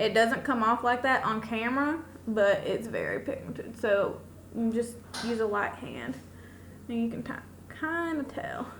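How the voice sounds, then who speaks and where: Noticeable background noise accompanies a woman's speech. The room adds an audible echo. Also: fairly high pitch for a woman, ordinary pitch variation, fairly slow pace. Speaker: beauty vlogger. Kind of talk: makeup tutorial. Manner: loud.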